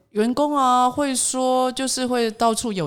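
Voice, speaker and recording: A woman with a Taiwanese accent. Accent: Taiwanese Mandarin. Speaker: corporate trainer and author. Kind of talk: interview.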